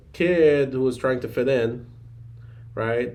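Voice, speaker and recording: A man speaks at a medium pitch in a dark, mellow tone. Audible room echo surrounds his voice. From Afghanistan. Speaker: physician assistant. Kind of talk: podcast interview. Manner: halting, many fillers.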